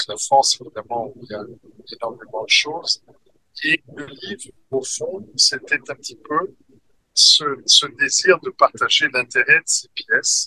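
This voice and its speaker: A man speaks at a fairly slow pace with long, frequent pauses and big swings in loudness. The sound is dry and close, with no echo. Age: 60s. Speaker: author and manuscript collector. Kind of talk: interview. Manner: halting, many hesitations.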